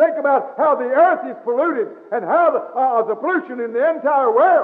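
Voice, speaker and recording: A man's extremely high pitch with lively intonation, at a fairly quick pace over a quiet background. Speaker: Baptist pastor. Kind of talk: church sermon. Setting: recorded in a church, old cassette tape. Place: church. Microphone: old recording.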